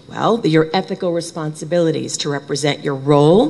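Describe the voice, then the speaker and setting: A woman's very deep, low voice with an American accent and ordinary pitch variation, over noticeable background noise. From Brooklyn, New York. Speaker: conference speaker; bereavement trainer. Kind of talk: conference talk. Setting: stage with audience.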